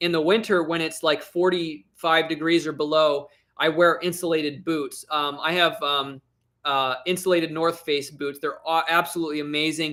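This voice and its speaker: Speaking in an American accent, a man talks at a moderate pace with monotone, flat intonation. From northeast Tennessee, US South (Blountville). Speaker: YouTuber and metal detectorist. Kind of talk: casual livestream chat, answering viewer comments.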